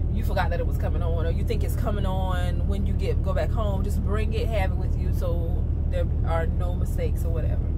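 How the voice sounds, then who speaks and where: Music plays in the background as a woman speaks at a moderate pace. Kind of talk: casual vlog chat. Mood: relaxed, chatty. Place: car. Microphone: phone near.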